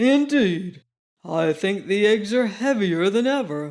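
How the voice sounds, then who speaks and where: A man's put-on character voice at a high pitch, delivered at a fairly slow pace. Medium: read story.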